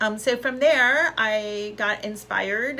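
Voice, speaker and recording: A woman with an American accent, audible room echo, and noticeable background noise. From US West Coast, South Bay, Los Angeles area. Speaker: school alumna speaker, scientist. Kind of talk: personal testimony talk. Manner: casual with frequent fillers.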